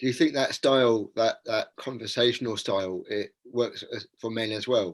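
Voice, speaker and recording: This man has a normal speaking voice at a medium pitch. His intonation is fairly even and his pace moderate. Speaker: podcast host. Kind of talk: podcast interviewer questions.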